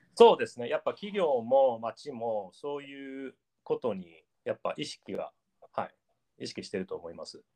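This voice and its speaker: This man talks at a moderate pace with big swings in loudness, and the sound is dry and close with no echo. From Japan, Gifu Prefecture. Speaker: artist. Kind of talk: casual interview.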